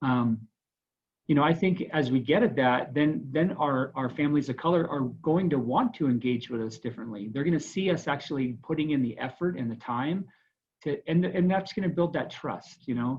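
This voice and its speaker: A man's voice, fairly high and somewhat breathy, moves at a medium rate with lively intonation. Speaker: school administrator. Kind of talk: panel discussion. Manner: halting.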